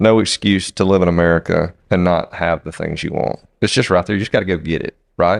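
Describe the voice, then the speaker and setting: A man with a Southern US accent speaks at a fairly quick pace with hardly any pauses, his very deep, low voice held to fairly even intonation, in a dry, close sound with no echo on a very clean recording with a silent background. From US South. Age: 40s. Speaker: podcast co-host, business owner. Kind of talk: casual chat.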